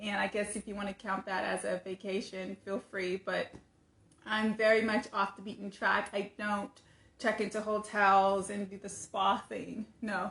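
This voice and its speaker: With an American accent, a woman speaks fairly slowly in a monotone, flat intonation. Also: medium pitch for a woman. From US West Coast, Sacramento, California. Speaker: content creator. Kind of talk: casual monologue. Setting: livestream. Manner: conversational, some stammering.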